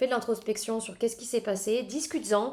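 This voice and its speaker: Fairly level intonation from a woman with a fairly high voice, delivered very rapidly. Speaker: podcast host. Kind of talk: solo podcast monologue.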